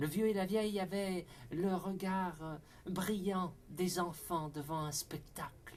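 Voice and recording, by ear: A passage is being read aloud in a natural voice.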